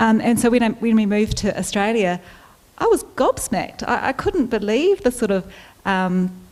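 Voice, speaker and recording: Speaking with a New Zealand accent, a woman keeps a fairly high pitch, ordinary pitch variation, a moderate pace and very even loudness. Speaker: health forum panelist. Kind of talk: panel discussion.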